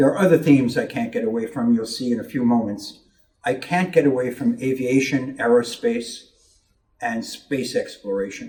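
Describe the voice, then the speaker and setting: A man with an American accent speaks at a medium pitch and moderate pace, with ordinary pitch variation. His tone is dark and mellow, and somewhat breathy. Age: 70s. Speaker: medal designer and artist. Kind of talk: keynote presentation. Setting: convention meeting with audience. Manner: halting, many fillers.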